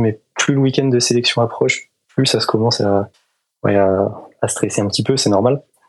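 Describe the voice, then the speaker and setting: A man speaks in an unremarkable speaking voice at medium pitch. His pace is moderate. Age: 20s. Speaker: engineering student and pilot. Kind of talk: interview.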